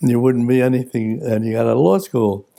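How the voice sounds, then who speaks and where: Talking fairly quickly in a New York accent, a man has a medium pitch and a dark, mellow tone. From New York City, the Bronx. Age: 90s. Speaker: retired lawyer. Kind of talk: personal reflection interview.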